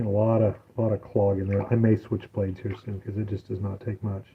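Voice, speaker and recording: Very fast, somewhat breathy speech. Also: man. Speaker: live streamer and homesteader. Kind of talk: casual live stream chat. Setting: outdoors on homestead, solar setup. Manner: hesitant, filler-heavy. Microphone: weak rural connection.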